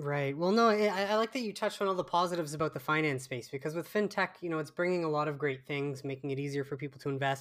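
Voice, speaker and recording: A fairly high-pitched man with a Canadian accent races along at a very fast pace with hardly any pauses and ordinary pitch variation, on a very clean recording with a silent background. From Canada. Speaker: podcast host. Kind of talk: casual interview.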